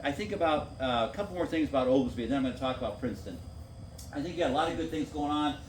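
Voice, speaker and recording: A man talks at a very fast pace with fairly high pitch and lively intonation. Noticeable background noise runs behind him. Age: 60s. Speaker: former city council member. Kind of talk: public meeting talk.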